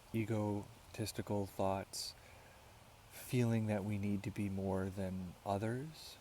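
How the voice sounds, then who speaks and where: With a dark, mellow tone and fairly low pitch, a man speaks at a very slow pace with long, frequent pauses and fairly even intonation. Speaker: vlogger. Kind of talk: casual monologue vlog.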